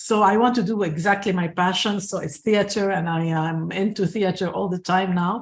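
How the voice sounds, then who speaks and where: A woman with a somewhat breathy, medium-pitched voice talks at a moderate pace with hardly any pauses and fairly even intonation. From Lebanon. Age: 60s. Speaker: actress and theatre producer. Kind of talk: interview. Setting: video call. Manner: hesitant, many fillers.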